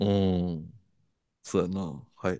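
A man speaks with a very deep, low pitch and a dark, mellow tone. The sound is dry and close with no echo over a quiet background. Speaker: podcast co-host, works at clubs and live houses. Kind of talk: casual chat. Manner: one fixed way of talking.

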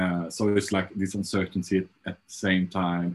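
A man with a Swedish accent, very deep, low pitch, monotone, flat intonation and a moderate pace. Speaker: fashion designer. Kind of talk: interview. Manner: halting.

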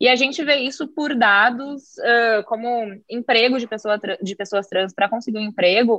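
A woman with a fairly high pitch and ordinary pitch variation talks at a moderate pace with hardly any pauses, in an ordinary speaking voice. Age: young. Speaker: tax lawyer. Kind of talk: casual interview. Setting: video call.

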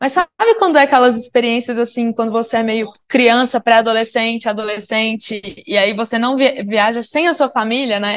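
Speaking at a moderate pace with hardly any pauses, a woman has an unremarkable speaking voice. Her pitch is fairly high and varies in an ordinary way. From Brazil, Minas Gerais. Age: 30s. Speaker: travel podcaster, digital nomad. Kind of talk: casual interview chat.

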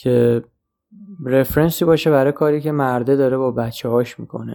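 His tone is dark and mellow as a man speaks at a medium pitch. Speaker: podcast host, film reviewer. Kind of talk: solo film review monologue. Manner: halting, with many pauses.

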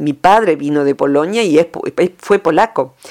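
A woman talks with a very deep, low pitch and lively intonation. Her pace is moderate. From Argentina, rural province. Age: 50s. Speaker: psychologist. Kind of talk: radio interview column.

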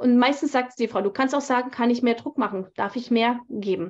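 A woman's high-pitched voice keeps to a moderate pace. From Germany. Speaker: tantra teacher and bodyworker. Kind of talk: interview. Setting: video call.

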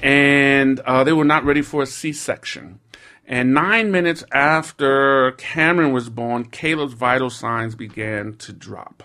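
With a bright, sharp tone and fairly high pitch, a man speaks fairly slowly, his loudness swinging widely while his pitch varies in an ordinary way. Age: 50s. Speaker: social entrepreneur, nonprofit leader. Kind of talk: interview conversation. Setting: studio. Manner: halting, many fillers.

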